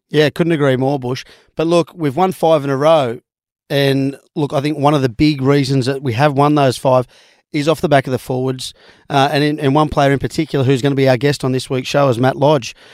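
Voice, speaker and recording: On a very clean recording with a silent background, a man with an Australian accent speaks at a fairly quick pace and fairly high pitch with monotone, flat intonation. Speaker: sports radio co-host. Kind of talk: casual sports chat.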